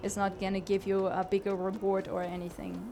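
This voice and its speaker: Over noticeable background noise, a woman with a non-native accent talks at a moderate pace and medium pitch with monotone, flat intonation. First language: not English. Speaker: gaming streamer and aspiring game designer. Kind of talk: live gameplay commentary. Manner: hesitant, many fillers and repeats.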